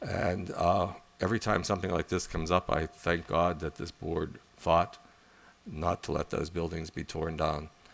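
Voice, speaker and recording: Very deep and low, a man's voice holds a monotone, flat intonation. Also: moderate pace. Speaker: college board trustee. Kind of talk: board meeting report.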